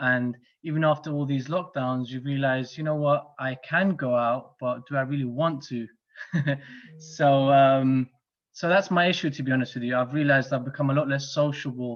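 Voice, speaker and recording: Speaking in a London accent, a man with a fairly high pitch talks at a moderate pace with fairly even intonation. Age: 30s. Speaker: club guest introducing himself. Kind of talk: casual self-introduction. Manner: hesitant, many fillers.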